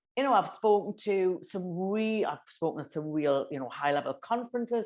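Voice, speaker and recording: Against a quiet background, a woman with a Geordie accent talks at a moderate pace and a medium pitch. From northeast England (Newcastle). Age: 50s. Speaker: business communication consultant. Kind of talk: interview. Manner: animated.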